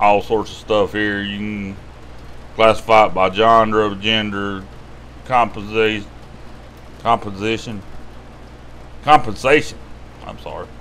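Over light background noise, a man with a Southern US accent speaks very slowly in a fairly low pitch, his intonation fairly even and his pauses long and frequent. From US South. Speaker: YouTube money-tips host. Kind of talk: tutorial. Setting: screen-share video. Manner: casual, rambling. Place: home room. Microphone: webcam.

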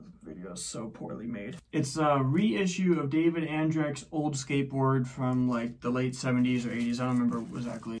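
A medium-pitched man with lively intonation and big swings in loudness, at a moderate pace. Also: hardly any pauses. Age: 30s. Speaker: skateboard unboxing vlogger. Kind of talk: casual unboxing video. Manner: casual, joking. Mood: relaxed, self-deprecating. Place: home room. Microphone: phone near.

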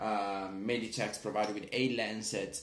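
A man with an Italian accent speaks amid audible room echo. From Italy. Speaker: product reviewer. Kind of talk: video review. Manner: hesitant, many fillers. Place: home room. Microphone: phone near.

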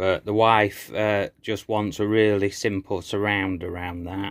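A man's very slow, fairly low-pitched voice, monotone and flat, against a quiet background. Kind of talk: casual vlog chat. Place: workshop. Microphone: phone near.

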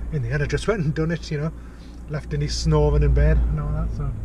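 A man talks at a very fast pace, his voice dry with no echo over noticeable background noise. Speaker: vlogger. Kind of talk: casual vlog chat. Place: car. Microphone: phone near.

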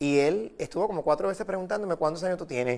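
This man talks very fast over a quiet background. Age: 40s. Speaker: record collector; guest. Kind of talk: TV interview. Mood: warm, friendly. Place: studio. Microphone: lapel.

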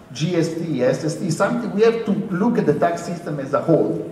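In a room with audible echo, a man speaks at high pitch and a fairly quick pace with ordinary pitch variation. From Europe. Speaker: university lecturer. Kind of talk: panel discussion. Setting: stage with audience. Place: hall.

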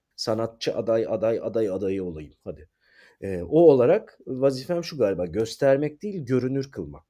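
A man of medium pitch with a dark, mellow tone, very wide pitch swings and big swings in loudness, at a moderate pace against a quiet background. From Izmir, Turkey. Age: 40s. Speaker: theatre actor, writer and director. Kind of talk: interview conversation. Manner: halting, many filler sounds.

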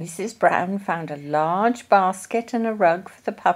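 Plain reading aloud carries ordinary pitch variation throughout.

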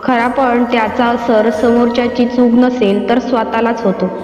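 Fairly high-pitched female voice with monotone, flat intonation, over noticeable background noise. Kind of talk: devotional motivational narration in Marathi.

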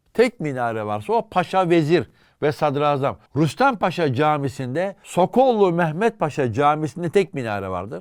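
The recording is very clean with a silent background. A man with a fairly high pitch speaks with very wide pitch swings. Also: moderate pace. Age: 50s. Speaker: historian and author. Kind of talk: casual chat.

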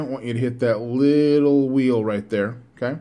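This man speaks at a moderate pace with fairly even intonation. The background is quiet. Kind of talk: tutorial. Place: home room. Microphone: phone near.

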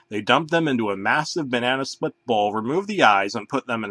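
The intonation rises and falls in a lively way. The delivery is plain reading aloud.

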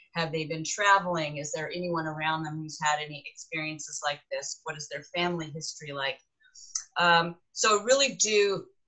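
A woman speaks in an unremarkable speaking voice at a fairly low pitch and moderate pace, with ordinary pitch variation. Her loudness swings widely against a quiet background. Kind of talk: interview answer. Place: office. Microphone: webcam.

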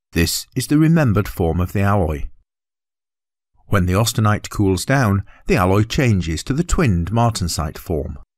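A man with a British accent speaks at a moderate pace and a fairly low pitch. The recording is very clean, with a silent background. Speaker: voice artist. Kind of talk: educational narration.

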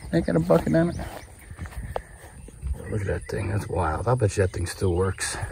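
The pace is moderate. The sound is dry with no echo, over light background noise. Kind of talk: casual vlog commentary. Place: open country. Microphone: phone near.

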